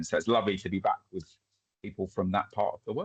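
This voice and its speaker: The sound is dry and close, without any echo. A man speaks at a very fast pace. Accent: Essex. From England, Essex (near Chelmsford). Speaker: community development trainer. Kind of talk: webinar presentation.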